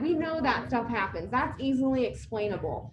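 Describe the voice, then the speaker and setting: Soft-spoken and fairly high-pitched, a woman talks at a moderate pace with lively intonation, amid audible room echo and noticeable background noise. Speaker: care community staff trainer. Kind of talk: staff training talk. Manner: soft-spoken, hard to hear.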